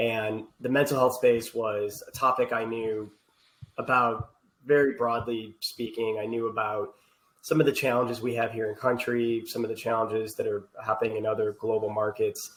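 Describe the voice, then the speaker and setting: A man talks with an Ohio accent at a moderate pace. His intonation is monotone and flat. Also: medium pitch for a man. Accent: Ohio (US Midwest) accent, still noticeable. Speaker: healthcare technology executive. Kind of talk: podcast interview.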